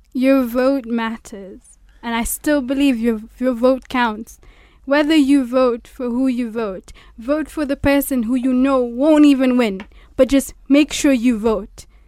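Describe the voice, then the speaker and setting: A woman in a Kenyan coastal accent speaks with a high pitch and a dark, mellow tone. Her pace is fairly slow and her intonation fairly even. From Kenya, Mombasa. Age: young. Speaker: law student. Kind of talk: radio discussion.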